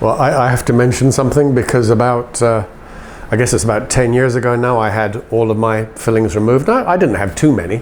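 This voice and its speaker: A man speaks at a medium pitch and a fairly quick pace. Noticeable background noise is present. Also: ordinary pitch variation. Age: 60s. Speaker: interviewer. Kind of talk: interview.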